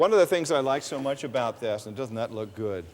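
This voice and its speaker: This man sounds upbeat and enthusiastic, speaking at a fairly quick pace with ordinary pitch variation. Noticeable background noise runs behind him. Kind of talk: infomercial host. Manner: upbeat, enthusiastic.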